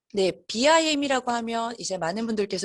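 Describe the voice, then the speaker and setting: A woman talks with lively intonation. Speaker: business development and marketing team lead presenting a webinar. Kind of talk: webinar presentation. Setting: online webinar. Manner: fast.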